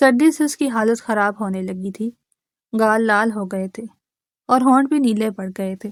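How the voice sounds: Over a quiet backdrop, the voice reads naturally, its pitch varying in an ordinary way.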